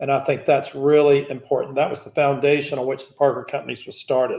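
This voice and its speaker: Somewhat breathy and fairly high-pitched, a man talks with a Southern US accent. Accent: Southern US (Georgia). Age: 60s. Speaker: business founder and executive. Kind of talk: keynote speech.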